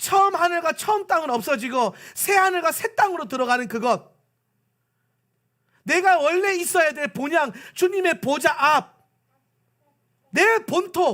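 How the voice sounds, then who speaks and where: In a Gyeongsang accent, a man speaks fairly slowly in a raised, projected voice that is extremely high in pitch, bright and sharp in tone, with lively intonation and long, frequent pauses. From South Korea, Pohang (Gyeongsang). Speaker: pastor. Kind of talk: sermon.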